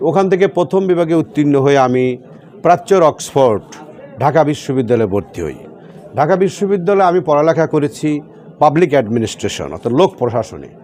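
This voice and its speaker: Lively intonation over noticeable background noise. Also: man, fairly high pitch for a man. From Bangladesh, Sirajganj district (Shahzadpur). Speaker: politician. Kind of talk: political interview.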